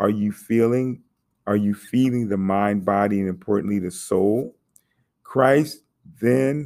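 A man with a normal speaking voice talks fairly slowly at a fairly low pitch, with lively intonation. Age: 50s. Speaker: podcast host on faith and technology. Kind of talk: solo podcast monologue, preaching style. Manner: conversational with frequent fillers.

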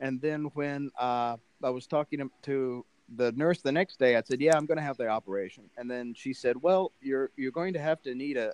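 In a dry, close recording with no echo, a man with an ordinary speaking voice talks at a moderate pace, medium in pitch, with ordinary pitch variation. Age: 40s. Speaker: international school teacher. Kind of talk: casual interview.

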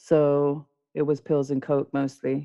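A woman in a London accent talks at a very slow pace. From London, England (born in South America). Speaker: recovering addict sharing her story. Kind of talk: testimony. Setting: podcast recording.

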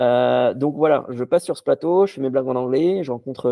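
With a plain, everyday voice, a man speaks at a fairly quick pace and medium pitch, using lively intonation. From Morocco, Casablanca. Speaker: magician and stand-up comedian. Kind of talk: casual chat.

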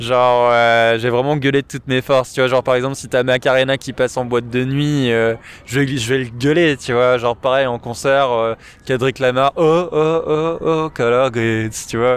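A man's ordinary speaking voice at a medium pitch, with fairly even intonation. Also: moderate pace. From Paris, France. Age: 20s. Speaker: gamer, music fan. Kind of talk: casual chat. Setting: outdoors, in a park.

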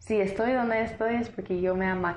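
Fairly even intonation from a woman speaking in an American accent. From US South, Tennessee. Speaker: lawyer and entrepreneur working in Guatemala. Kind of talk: casual interview, storytelling.

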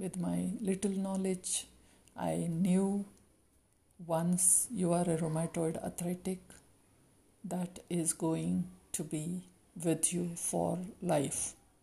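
A woman speaks very slowly in a somewhat breathy, dark, mellow voice with a fairly low pitch. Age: 60s. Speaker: life coach. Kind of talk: motivational talk.

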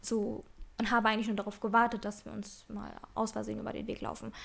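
On a very clean recording with a silent background, a woman talks with vocal fry. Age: 20s. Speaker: podcast co-host. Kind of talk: casual chat.

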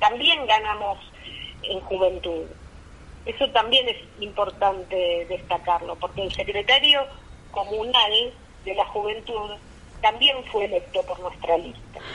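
Speaking at a fairly slow pace with long, frequent pauses, a woman has a fairly high pitch. Noticeable background noise runs underneath. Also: ordinary pitch variation. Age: 50s. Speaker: politician. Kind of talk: phone interview.

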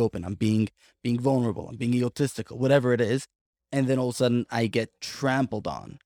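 Heard in a dry, close sound with no echo and a very clean recording with a silent background, a man uses a plain, everyday voice at a medium pitch. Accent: American. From Brooklyn, New York. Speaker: podcast co-host, life coach. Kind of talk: casual interview conversation.

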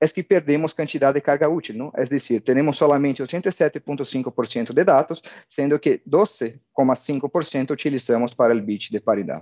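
At a fairly slow pace and a fairly high pitch, a man talks with hardly any pauses and ordinary pitch variation. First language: Portuguese (speaking Spanish). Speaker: telecom technical expert. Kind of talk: technical webinar presentation.

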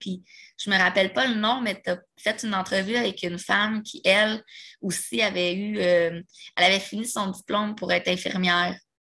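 Her tone is bright and sharp, at medium pitch with ordinary pitch variation. The woman talks at a moderate pace. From Quebec, Repentigny. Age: 20s. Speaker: person living with multiple sclerosis. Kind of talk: casual interview conversation.

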